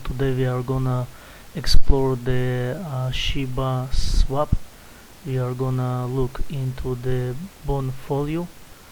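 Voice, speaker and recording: Over noticeable background noise and audible room echo, a man with a non-native accent speaks at a medium pitch in a monotone, flat way. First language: not English. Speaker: crypto YouTuber. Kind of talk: screen-share tutorial. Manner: halting, many fillers.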